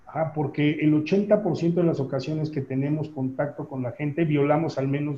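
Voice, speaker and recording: At a fairly slow pace, a man speaks in a fairly high pitch with a dark, mellow tone. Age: 40s. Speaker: business trainer and consultant. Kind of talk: interview conversation.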